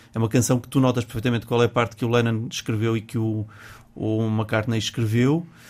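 A man talks at a fairly quick pace with medium pitch and fairly even intonation, on a very clean recording with a silent background. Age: 50s. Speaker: music teacher and singer. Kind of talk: casual chat. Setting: studio. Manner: halting.

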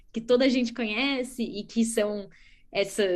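Speaking with a São Paulo accent, a woman uses a high pitch and lively intonation. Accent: Brazilian Portuguese, São Paulo. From Brazil, São Paulo state. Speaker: biologist and startup co-founder. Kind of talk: interview. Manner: enthusiastic.

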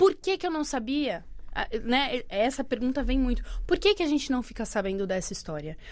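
With a São Paulo accent, a woman speaks at a moderate pace in a high pitch, her voice making very wide pitch swings. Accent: Brazilian Portuguese, São Paulo. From Brazil, Santos on the São Paulo coast. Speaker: actress and arts educator. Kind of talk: interview.

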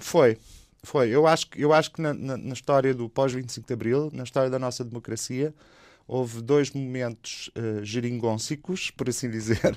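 A man with a plain, everyday voice speaks at a fairly slow pace and a medium pitch. His intonation is fairly even, on a very clean recording with a silent background. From Portugal. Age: 50s. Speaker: anthropologist and activist. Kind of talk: radio interview.

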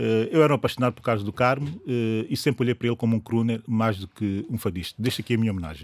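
Very fast speech from a man comes through in a very clean recording with a silent background and a dry, close sound with no echo. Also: medium pitch for a man, ordinary pitch variation. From São Tomé and Príncipe. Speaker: political commentator. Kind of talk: radio panel debate.

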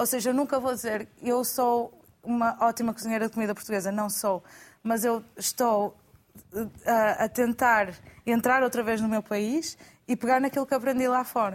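Here is an unremarkable speaking voice at a moderate pace, with fairly even intonation and very even loudness. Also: woman, fairly high pitch for a woman. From Portugal. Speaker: chef. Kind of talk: studio panel discussion. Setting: studio.

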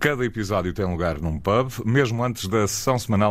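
A man talks with lively intonation at a moderate pace, captured on a very clean recording against a silent background. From northern Portugal, Porto. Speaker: podcast host. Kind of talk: casual chat.

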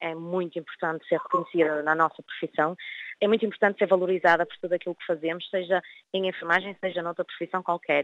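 A woman with a plain, everyday voice, speaking at a fairly quick pace. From northern Portugal, Vila do Conde. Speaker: nurse. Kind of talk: interview.

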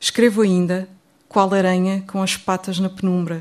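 A woman talks at a medium pitch on a very clean recording with a silent background. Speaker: poet. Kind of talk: poetry reading, dense imagery. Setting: stage with audience. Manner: modest, hesitant, quiet.

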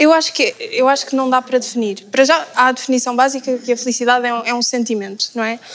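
Noticeable background noise sits behind a woman with a high voice. She talks at a very fast pace with fairly even intonation and hardly any pauses. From Algarve, Portugal. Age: 20s. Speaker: communications graduate. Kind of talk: casual panel discussion.

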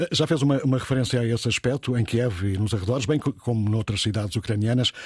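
Somewhat breathy and medium-pitched, a man talks at a fairly quick pace with ordinary pitch variation, the sound dry and close with no echo on a very clean recording with a silent background. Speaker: radio news host. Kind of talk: radio news discussion. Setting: radio studio.

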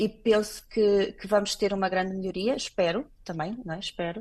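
A woman with a normal speaking voice talks at a moderate pace in a medium pitch, her intonation fairly even over a quiet background. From Portugal. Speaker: clinical laboratory director. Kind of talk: radio interview.

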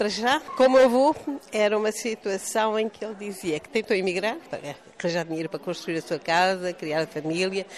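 With noticeable background noise, a woman speaks at a medium pitch, her lively intonation paired with big swings in loudness. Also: fairly quick pace. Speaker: granddaughter of a war hero. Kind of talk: interview.

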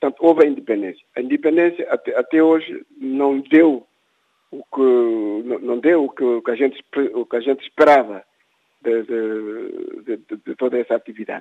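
The sound is dry and close, with no echo, as a man talks at a middling speed. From Guinea-Bissau. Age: 60s. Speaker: writer and former independence activist. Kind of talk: interview. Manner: halting, many repetitions.

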